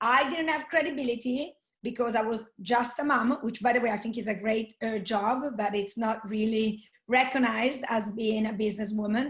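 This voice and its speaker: At a moderate pace, a woman speaks somewhat breathily with fairly even intonation. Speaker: network marketing entrepreneur. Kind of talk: webinar interview.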